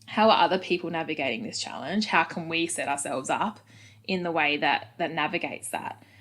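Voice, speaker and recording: A woman talks at a fairly quick pace in a fairly low voice with ordinary pitch variation. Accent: Australian. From Australia, Adelaide. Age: 30s. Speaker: head of marketing at a football club. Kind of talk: podcast interview. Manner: casual, many fillers.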